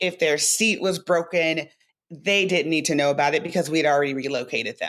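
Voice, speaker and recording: A woman's very deep, low voice at a fairly quick pace, with ordinary pitch variation. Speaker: sports event professional. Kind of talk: podcast interview. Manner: loud.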